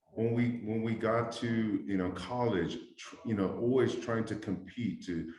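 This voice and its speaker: A voice with ordinary pitch variation speaks at a fairly slow pace, with audible room echo. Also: man. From New Zealand (South Auckland), then Hawaii from age 12. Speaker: entrepreneur, former elected official. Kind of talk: interview.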